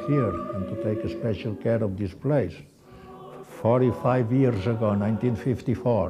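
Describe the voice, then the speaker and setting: A man speaks with audible echo from the room. Music plays in the background. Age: 80s+. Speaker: church caretaker. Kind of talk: interview testimony. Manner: halting.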